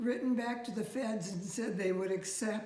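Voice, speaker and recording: A woman at a medium pitch with fairly even intonation, amid audible room echo and noticeable background noise. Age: 90s. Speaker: retired speech pathologist. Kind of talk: casual interview about her career. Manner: halting, with false starts.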